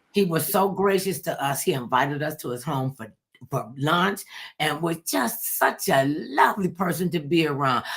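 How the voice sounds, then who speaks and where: A woman speaks at a moderate pace in a very deep, low voice, her tone animated and her intonation lively. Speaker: talk show host. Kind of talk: casual chat. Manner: loud.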